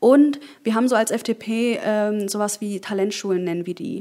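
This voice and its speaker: This woman has an ordinary speaking voice at a medium pitch. Her pitch rises and falls in an ordinary way. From Germany, Berlin. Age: 20s. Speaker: politician. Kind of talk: interview.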